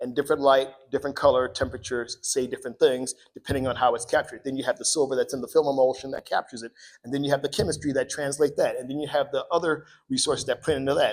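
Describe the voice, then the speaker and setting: A man with an American accent at a very fast pace, in a very clean recording with a silent background. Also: big swings in loudness. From Cleveland, Ohio, US. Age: 50s. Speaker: filmmaker and photographer. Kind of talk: onstage talk at a public interview event. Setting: library event with live audience. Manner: animated.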